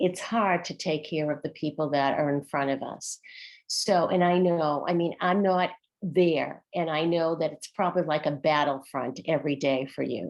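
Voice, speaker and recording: In a Boston accent, a woman with a very deep, low pitch speaks at a moderate pace with fairly even intonation. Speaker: former teacher, workshop facilitator. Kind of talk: online workshop discussion.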